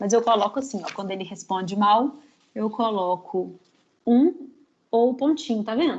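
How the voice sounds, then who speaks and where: Pausing long and often, a woman speaks at a fairly high pitch with ordinary pitch variation. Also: moderate pace. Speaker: psychologist teaching a training class. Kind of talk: lecture.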